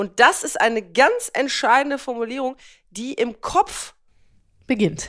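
Slow-paced and marked by long, frequent pauses, a woman's high voice moves through very wide pitch swings. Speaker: podcast co-host. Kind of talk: casual chat.

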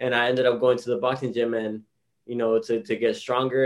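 In a Miami accent, a man speaks in a flat monotone. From South Florida, Hialeah Gardens. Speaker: professional boxer. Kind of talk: interview. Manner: casual.

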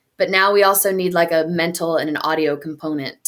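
Here a woman with an American accent talks at a moderate pace and fairly low pitch. It is a normal speaking voice on a very clean recording with a silent background. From North Carolina (Hickory). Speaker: CrossFit coach and gym manager. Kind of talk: casual interview chat.

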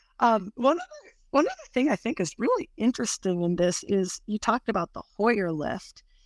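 With a normal speaking voice, a woman speaks at a fairly slow pace and fairly high pitch with lively intonation, on a very clean recording with a silent background. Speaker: stroke nurse, podcast host. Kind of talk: interview.

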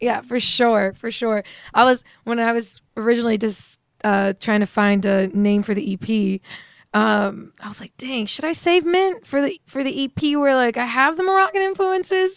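Her pitch fairly high and swinging very widely, a woman talks at a moderate pace. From Virginia. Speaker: singer. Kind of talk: interview. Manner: casual, giggly.

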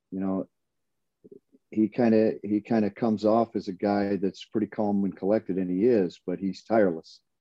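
A man with an American accent talks at a moderate pace in a fairly low pitch, his intonation monotone and flat. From Michigan. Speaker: college basketball assistant coach and former player. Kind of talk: casual interview.

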